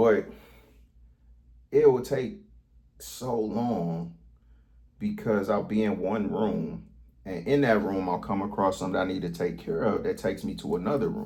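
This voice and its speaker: A man speaks at a moderate pace with long, frequent pauses. Audible room echo is present. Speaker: vlogger. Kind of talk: casual monologue vlog. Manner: stuttering, stammering; rambling, halting.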